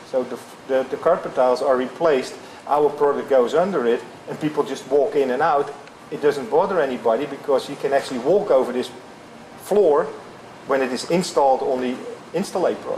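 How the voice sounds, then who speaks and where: A man's fairly high voice with a slight European accent, fairly quick yet with long, frequent pauses, ordinary pitch variation, and noticeable background noise. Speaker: flooring company executive. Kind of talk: interview. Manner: halting.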